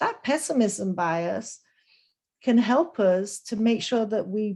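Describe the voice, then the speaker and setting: A woman speaks with a Lancashire accent at a fairly slow pace. Her tone is dark and mellow, and her intonation is lively. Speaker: business professor. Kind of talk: webinar Q&A.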